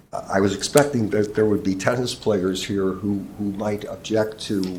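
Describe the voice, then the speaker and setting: A man speaks at a fairly slow pace in a fairly low, dark and mellow voice, with audible echo from the room. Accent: American. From Chicago area. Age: 70s. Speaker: public commenter at park board meeting. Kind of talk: public comment. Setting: public meeting room. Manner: halting, many fillers.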